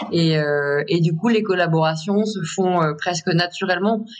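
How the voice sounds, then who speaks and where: Noticeable background noise sits under a woman's voice. She talks at a fairly slow pace with a fairly low pitch and fairly even intonation. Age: 30s. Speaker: contemporary artist. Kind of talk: interview.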